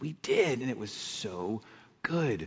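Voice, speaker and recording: A man at medium pitch, with a Midwestern American accent and a fairly slow pace. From Ohio, Akron area. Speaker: pastor. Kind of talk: sermon. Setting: church.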